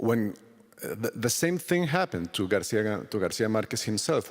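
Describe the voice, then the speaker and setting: A man's medium-pitched voice with a Spanish accent, a fairly quick pace and lively intonation. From Colombia. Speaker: novelist. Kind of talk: literary festival interview. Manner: halting.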